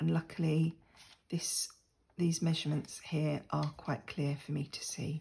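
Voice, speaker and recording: Somewhat breathy and very deep, a woman speaks slowly-ish in an English accent, at a fairly slow pace with monotone, flat intonation. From England. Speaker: crafting YouTuber. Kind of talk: crafting tutorial. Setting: sitting at a desk at home. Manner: casual, chatty with fillers.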